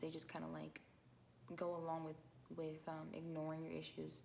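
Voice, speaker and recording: A woman at a moderate pace, with audible room echo. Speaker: tarot reader. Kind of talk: tarot reading. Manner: halting, many fillers.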